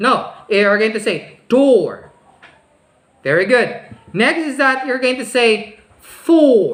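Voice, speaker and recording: Speaking very slowly with long, frequent pauses, a woman with a Filipino accent and a high pitch uses ordinary pitch variation amid audible room echo. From Philippines. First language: Filipino language. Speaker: speech teacher. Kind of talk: online class tutorial. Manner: slow, demonstrative enunciation; exaggerated pronunciation.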